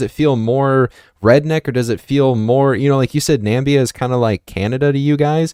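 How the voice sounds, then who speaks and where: An American man with an unremarkable speaking voice talks at a moderate pace and medium pitch with ordinary pitch variation, in a very clean recording with a silent background and a dry, close sound with no echo. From US. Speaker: podcast host. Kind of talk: casual chat.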